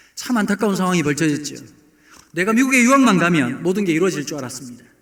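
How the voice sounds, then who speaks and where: A man talks at a very fast pace, his pitch swinging very widely. Room echo is audible. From South Korea, Busan. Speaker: pastor. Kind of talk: sermon. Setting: church, early morning service.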